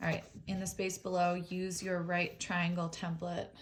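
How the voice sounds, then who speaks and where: A somewhat breathy woman at a fairly low pitch and a very slow pace. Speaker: teacher. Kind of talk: tutorial. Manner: halting.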